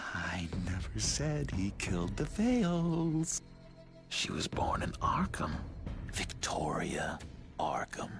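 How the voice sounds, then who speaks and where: A put-on character voice in a whisper at a fairly slow pace, with clear music in the background. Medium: video game.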